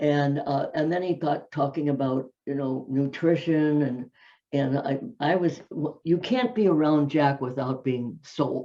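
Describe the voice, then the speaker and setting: A woman's very deep, low voice with an American accent, a dark, mellow tone, ordinary pitch variation and a fairly slow pace. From US Midwest, Minneapolis. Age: 90s. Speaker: fitness personality. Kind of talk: interview storytelling. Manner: halting.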